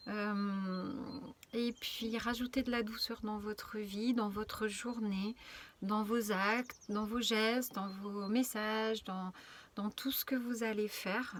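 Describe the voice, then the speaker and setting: At a very slow pace, a woman speaks in a monotone, flat way. Her pitch is fairly high. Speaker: spiritual channeler. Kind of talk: inspirational video message. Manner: soft, gentle.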